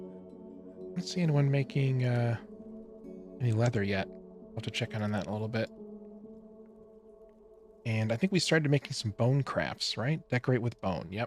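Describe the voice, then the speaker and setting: Over music in the background, a medium-pitched man speaks at a moderate pace with lively intonation and long, frequent pauses. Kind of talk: casual gameplay commentary.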